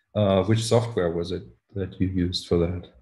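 Somewhat breathy and dark, mellow in tone, a man's voice sits at a fairly low pitch with fairly even intonation. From Germany. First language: German. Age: 40s. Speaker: podcast host, musician; podcast host. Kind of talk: interview. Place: home room. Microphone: video call.

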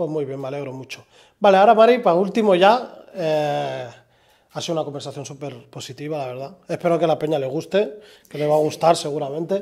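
The loudness swings widely while the pitch varies in an ordinary way. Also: man, fairly high pitch for a man, quiet background. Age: 30s. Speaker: podcast host. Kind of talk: interview conversation; conversational podcast chat. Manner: halting. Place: studio.

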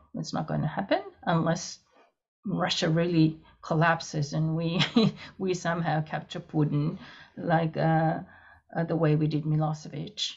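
Somewhat breathy speech in a flat monotone with a Japanese accent, at a moderate pace with long, frequent pauses, against a quiet background. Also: woman, fairly low pitch for a woman. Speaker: international security professor; panel expert. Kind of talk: panel discussion; panel discussion answer. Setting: video call. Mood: calm, analytical. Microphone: video call.

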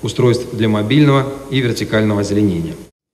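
The speech comes at a very fast pace with ordinary pitch variation. Background noise is noticeable. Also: man. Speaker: city mayor. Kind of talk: official report speech. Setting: city council session hall. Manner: formal.

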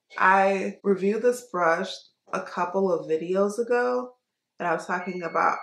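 Audible room echo surrounds a woman who talks at a moderate pace with a fairly low pitch. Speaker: beauty vlogger. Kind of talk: casual vlog chat. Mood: relaxed, chatty. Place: home room. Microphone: phone near.

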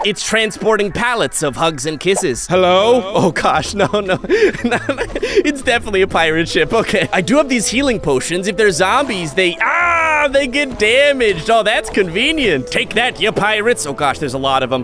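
Over noticeable background noise, a man speaks in a high pitch with very wide pitch swings and an upbeat, playful tone. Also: moderate pace. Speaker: voice over artist. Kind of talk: gaming commentary.

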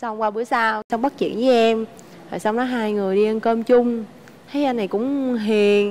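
In a Southern Vietnamese accent, a woman with a fairly high pitch speaks at a fairly slow pace with fairly even intonation. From Ho Chi Minh City, southern Vietnam. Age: 20s. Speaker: married woman, bank employee. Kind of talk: casual chat. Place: studio.

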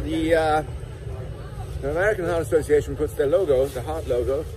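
Over music in the background, a man talks at a moderate pace in a dry sound with no echo. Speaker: health vlogger. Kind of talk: casual vlog chat. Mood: opinionated, critical. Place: market. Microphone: phone near.

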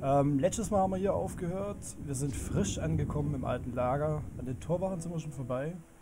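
This man's voice sits fairly high in pitch, with ordinary variation. He speaks at a fairly quick pace. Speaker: let's play gamer. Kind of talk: casual gameplay commentary. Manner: humorous.

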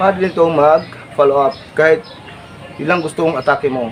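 Music plays behind a man speaking. He goes at a fairly quick pace with lively intonation. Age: 40s. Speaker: martial arts instructor. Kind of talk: tutorial. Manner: animated.

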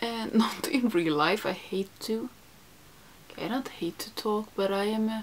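Ordinary pitch variation from a woman with a Swedish accent, over light background noise. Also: fairly slow pace. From Sweden. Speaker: beauty YouTuber. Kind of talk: makeup tutorial. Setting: home studio. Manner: chatty. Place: home room.

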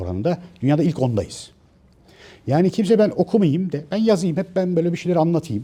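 A man with a dark, mellow tone and a somewhat breathy voice swings his pitch very widely. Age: 50s. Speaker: author and commentator. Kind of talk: monologue to camera. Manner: hesitant, many filler sounds.

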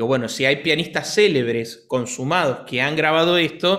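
A man at a moderate pace, quiet background behind him. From Argentina. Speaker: piano teacher and pianist; piano teacher. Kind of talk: casual chat. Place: home room. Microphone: studio mic.

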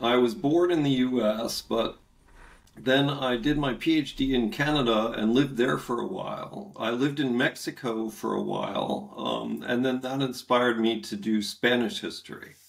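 At a moderate pace, the talking shows ordinary pitch variation. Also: man. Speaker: history professor, remote guest. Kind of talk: interview answer. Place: home room. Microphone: webcam.

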